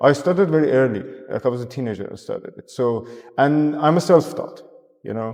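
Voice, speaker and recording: At a fairly quick pace, a man with a fairly high voice shows ordinary pitch variation and big swings in loudness. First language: not English. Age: 30s. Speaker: artist. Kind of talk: casual chat. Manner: halting, many restarts and fillers.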